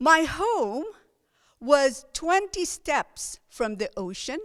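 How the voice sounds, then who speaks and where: The speaker is a woman with a Filipino accent. She talks at a very slow pace. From Philippines. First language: Filipino language. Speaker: lay preacher. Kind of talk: sermon. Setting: church service, recorded online.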